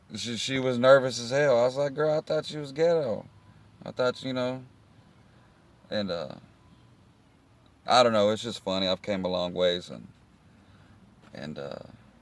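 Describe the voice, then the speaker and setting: A man with a Texan accent speaks at a moderate pace in a relaxed tone, his pitch medium and his intonation lively. His loudness swings widely, and he takes long, frequent pauses. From Texas, Houston area. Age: 30s. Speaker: vlogger. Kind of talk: casual vlog monologue.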